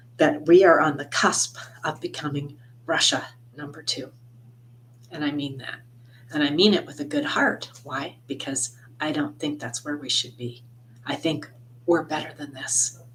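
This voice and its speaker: A woman with a very deep, low pitch speaks at a moderate pace. Her loudness swings widely, and she takes long, frequent pauses. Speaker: tarot reader and astrologer. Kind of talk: tarot reading monologue. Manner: loud, projecting; impassioned.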